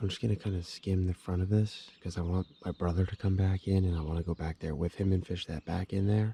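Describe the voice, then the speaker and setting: Somewhat breathy whispering comes through a very clean recording with a silent background and a dry, close sound with no echo. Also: man. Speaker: fishing vlogger. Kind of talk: outdoor vlog narration. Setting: outdoors in a kayak on a lake.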